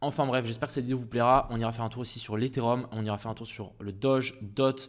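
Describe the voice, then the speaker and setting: On a very clean recording with a silent background, a man of medium pitch talks very fast in a monotone, flat intonation. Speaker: crypto trading YouTuber. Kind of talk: market analysis tutorial. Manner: casual, hesitant with fillers.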